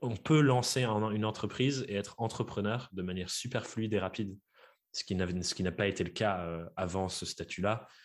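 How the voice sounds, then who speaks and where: A very clean recording with a silent background carries speech at a moderate pace with ordinary pitch variation. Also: man, fairly low pitch for a man. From France, Dordogne. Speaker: podcaster and freelance coach. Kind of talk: interview. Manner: hesitant, many fillers.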